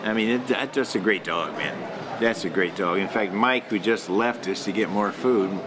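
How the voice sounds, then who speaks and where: There is noticeable background noise and audible room echo. A man speaks with a fairly low pitch and fairly even intonation. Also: moderate pace. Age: 70s. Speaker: dog breeder. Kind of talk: interview. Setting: hotel. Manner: casual, halting with fillers.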